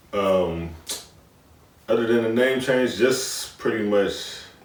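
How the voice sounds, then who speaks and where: A man with an American accent at a moderate pace, with noticeable background noise and audible room echo. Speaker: rapper. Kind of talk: interview.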